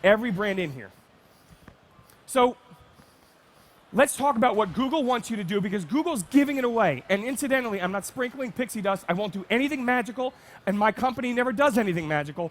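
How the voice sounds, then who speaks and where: Very fast and animated, a man speaks in a high voice with lively intonation and an American accent. Long, frequent pauses break up his speech. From New Jersey. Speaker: marketing speaker. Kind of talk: conference talk. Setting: stage with audience.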